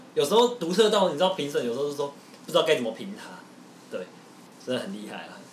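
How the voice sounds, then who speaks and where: Talking very fast at a fairly high pitch, a man swings widely in both pitch and loudness, leaves long, frequent pauses, and has noticeable background noise behind him. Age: 20s. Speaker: podcast host. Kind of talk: casual chat.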